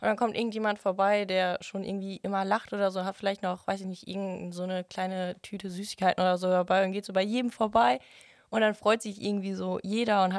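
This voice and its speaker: A woman talks at a very fast pace and a medium pitch. Her intonation is monotone and flat, and the recording is very clean with a silent background. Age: 18. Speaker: trainee at a wholesale company. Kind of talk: casual interview. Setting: studio.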